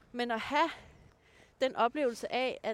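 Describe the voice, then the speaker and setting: Her high pitch and lively intonation mark this woman's speech, delivered at a fairly slow pace. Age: 30s. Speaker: dating blogger. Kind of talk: casual chat. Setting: outdoors on a walk.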